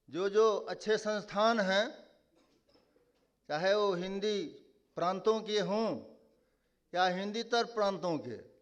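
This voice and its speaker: This man's pitch is high, and his intonation stays fairly even. He leaves long, frequent pauses, and audible room echo surrounds his voice. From Nepali-speaking family, Maithili region. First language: Nepali (speaking Hindi). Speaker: conference speaker. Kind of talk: conference speech. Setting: stage with audience.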